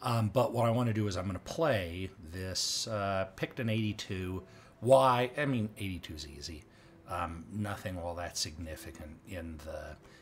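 Somewhat breathy and fairly low-pitched, a man talks over light background noise. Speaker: gamer narrating his play. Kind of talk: live gameplay commentary.

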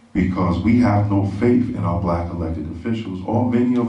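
Audible room echo surrounds a man speaking at a moderate pace in a fairly low voice with ordinary pitch variation. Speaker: speaker. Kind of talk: public speech. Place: stage.

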